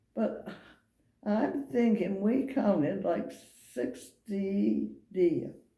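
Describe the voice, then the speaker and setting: With an American accent and vocal fry, a woman speaks amid audible room echo. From Maine, US. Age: 80s+. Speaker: elderly local resident interviewed. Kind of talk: oral history interview. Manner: halting.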